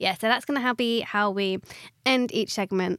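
On a very clean recording with a silent background, a woman in a southern English accent talks at a moderate pace with fairly even intonation. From Watford, south England. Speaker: podcast co-host and actor. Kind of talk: casual chat. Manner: chatty, laughing.

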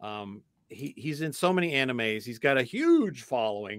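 An ordinary speaking voice from a man at a medium pitch, with lively intonation and a dry, close sound with no echo, on a very clean recording with a silent background. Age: 60s. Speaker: voice actor. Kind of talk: casual chat.

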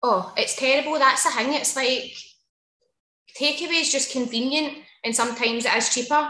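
With a Glaswegian accent, a woman projects a raised, high-pitched voice with a bright, sharp tone at a moderate pace, leaving long, frequent pauses amid audible room echo. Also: ordinary pitch variation. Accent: Glaswegian Scottish. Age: 30s. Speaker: hairdresser. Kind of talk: casual interview.

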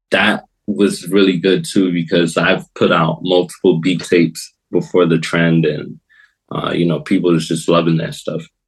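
A man's very deep, low voice in a New York accent, flat and monotone, at a moderate pace. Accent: New York American. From New York and Florida, US (Brooklyn). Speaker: hip-hop producer. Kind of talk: casual interview chat.

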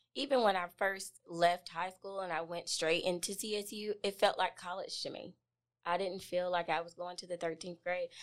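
A woman talks at a moderate pace with an American accent, using an ordinary speaking voice. Her pitch sits in the medium range and her intonation stays fairly even. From Columbus, Georgia, US. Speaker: journalism student. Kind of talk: interview.

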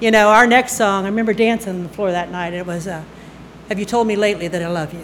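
Audible room echo colors a woman's voice, which shows ordinary pitch variation. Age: 60s. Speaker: army veteran and storyteller. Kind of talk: live storytelling. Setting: stage with audience.

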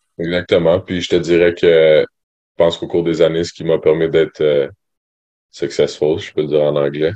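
A man talks at a moderate pace, with big swings in loudness. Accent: Quebec. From Quebec, Sherbrooke. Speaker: university basketball player. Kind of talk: interview. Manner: hesitant, many fillers.

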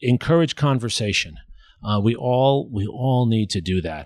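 A man speaks in an ordinary speaking voice at a medium pitch. His pace is moderate and his intonation lively. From New York City. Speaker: history professor. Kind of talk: interview conversation. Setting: at home.

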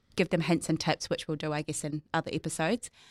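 A woman's fairly low voice with a New Zealand accent, a dry, close sound with no echo and a very clean recording on a silent background. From New Zealand, North Island. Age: 30s. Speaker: insurance adviser and business owner. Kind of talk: casual interview.

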